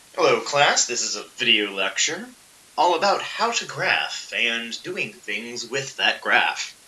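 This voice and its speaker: A man speaks at a fairly slow pace. There is audible room echo and noticeable background noise. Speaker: physics teacher. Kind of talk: lecture. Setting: recorded video lesson. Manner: casual.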